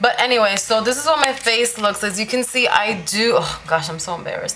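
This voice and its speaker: A woman talks with lively intonation at a fairly high pitch. There is noticeable background noise. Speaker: beauty vlogger. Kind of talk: makeup tutorial. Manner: fast.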